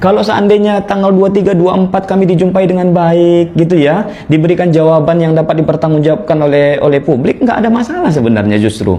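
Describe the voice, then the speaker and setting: Over noticeable background noise, a man with a Malay accent talks at a very fast pace in a high pitch. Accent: sounds Malay. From North Sumatra (Batak). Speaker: protest representative. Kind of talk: formal statement at a meeting with officials. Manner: earnest, insistent.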